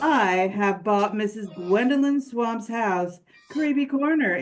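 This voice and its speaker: A female-sounding put-on character voice, fairly high-pitched and fairly slow, with faint music in the background. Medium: read story. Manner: haughty, sinister.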